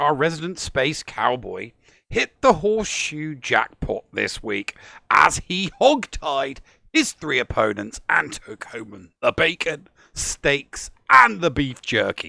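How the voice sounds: Speaking very slowly with an English accent, a man uses a fairly high pitch, a bright, sharp tone, lively intonation and vocal fry. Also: dry, close sound with no echo.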